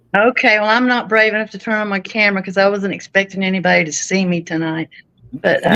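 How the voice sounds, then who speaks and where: With a Texan accent, a woman speaks very fast at a medium pitch in a bright, sharp tone. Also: fairly even intonation. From Texas. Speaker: livestream call guest. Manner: friendly, folksy.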